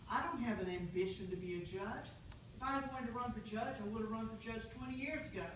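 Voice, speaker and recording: Audible room echo surrounds a woman speaking at a very fast pace. Her fairly high pitch shows ordinary variation. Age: 60s. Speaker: judicial candidate. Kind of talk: closing statement at candidate forum. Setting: public forum with audience. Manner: earnest, persuasive.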